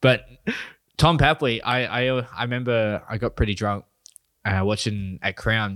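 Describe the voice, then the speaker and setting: A man with an Australian accent, medium pitch and ordinary pitch variation, at a moderate pace broken by long, frequent pauses. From New South Wales, Australia. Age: 20s. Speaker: stand-up comedian. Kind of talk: casual chat.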